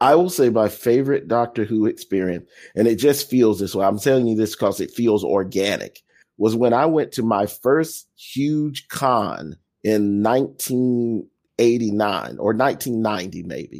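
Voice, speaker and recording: An ordinary speaking voice from a man with an American accent at a moderate pace, on a very clean recording with a silent background. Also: medium pitch for a man, ordinary pitch variation. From US South. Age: 50s. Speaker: podcast co-host and fan. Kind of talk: casual chat.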